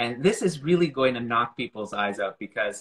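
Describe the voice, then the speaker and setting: With a Canadian accent, a man uses an ordinary speaking voice at a medium pitch, a moderate pace and ordinary pitch variation. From Montreal, Canada. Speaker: astronomy communicator. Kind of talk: casual chat.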